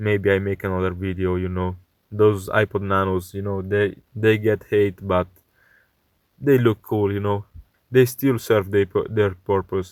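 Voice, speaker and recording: On a very clean recording with a silent background, a man speaks in a non-native accent. His pitch is fairly low, his intonation monotone and flat, and his pace fairly slow. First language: not English. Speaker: electronics repair youtuber. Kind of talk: tutorial. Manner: hesitant, many fillers.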